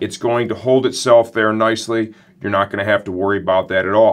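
At a fairly quick pace, a man talks with fairly even intonation. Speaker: product reviewer. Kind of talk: product review presentation. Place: studio.

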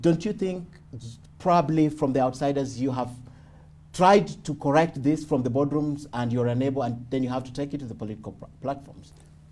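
A man's dark, mellow voice at a fairly high pitch, fairly quick, with ordinary pitch variation and big swings in loudness. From Kenya. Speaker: TV news interviewer. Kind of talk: interview. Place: home room.

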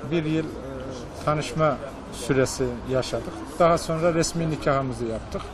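Audible room echo and noticeable background noise surround a man whose fairly high voice keeps a fairly even intonation. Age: 60s. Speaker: shopkeeper. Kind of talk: interview. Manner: halting, many fillers.

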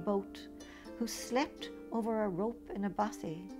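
A woman's voice over background music. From Ireland. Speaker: poet. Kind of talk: poetry reading.

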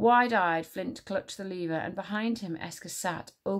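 An unforced reading voice carries ordinary pitch variation.

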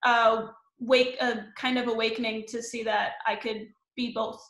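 In a bright, sharp tone with an American accent, the speaker talks at a fairly slow pace with fairly even intonation, and room echo is audible. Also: woman.

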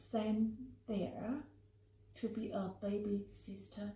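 A woman's voice carries audible room echo. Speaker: family storyteller. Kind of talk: personal story narration. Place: meeting room.

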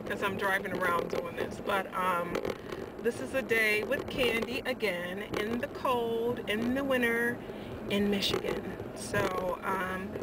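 Loud background noise sits under a woman talking at a fairly slow pace. The sound is dry with no echo, and her pitch variation is ordinary. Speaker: vlogger. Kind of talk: casual vlog chat. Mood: cheerful, laughing. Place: car. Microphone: phone near.

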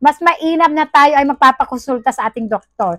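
Speaking at a fairly slow pace with lively intonation, a woman uses a high pitch, the sound dry with no echo and the background quiet. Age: 40s. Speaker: product review vlogger. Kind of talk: product review vlog. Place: home room. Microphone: phone near.

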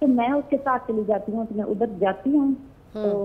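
Using a normal speaking voice, a woman talks with ordinary pitch variation. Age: 40s. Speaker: caller. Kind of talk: phone-in question.

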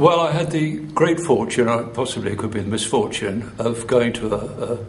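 Amid noticeable background noise, speech with lively intonation moves at a fairly quick pace. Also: man. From Chesterfield, England. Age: 60s. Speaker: retired teacher, activist. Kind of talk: interview answer.

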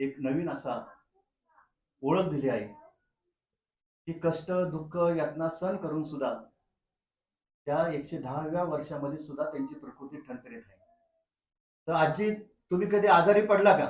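An ordinary speaking voice from a man, fairly high in pitch, with ordinary pitch variation and big swings in loudness. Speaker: vlogger. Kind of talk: vlog narration and interview questions.

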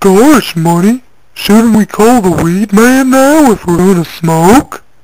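A woman at a medium pitch, with lively intonation and very even loudness. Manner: timid, naive.

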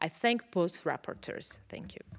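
A woman with a Georgian accent talks at a fairly slow pace in a medium pitch with ordinary pitch variation. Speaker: politician. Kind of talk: parliamentary speech. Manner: halting. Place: hall. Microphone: podium.

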